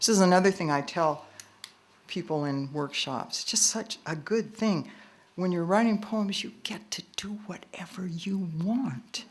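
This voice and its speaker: A woman speaks at a medium pitch with lively intonation and a fairly slow pace. Noticeable background noise sits behind her. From US Pacific Northwest, Portland Oregon. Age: 70s. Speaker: poet. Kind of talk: poetry reading with commentary.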